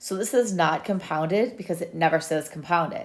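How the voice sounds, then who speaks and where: A plain, everyday voice from a woman, fairly low in pitch, fairly quick, with ordinary pitch variation, on a very clean recording with a silent background. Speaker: math teacher. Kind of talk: tutorial. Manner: casual.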